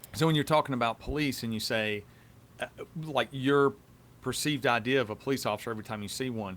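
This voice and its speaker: Very fast speech in a Southern US accent, with ordinary pitch variation. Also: man, medium pitch for a man. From US South. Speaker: police officer, podcast host. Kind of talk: casual chat.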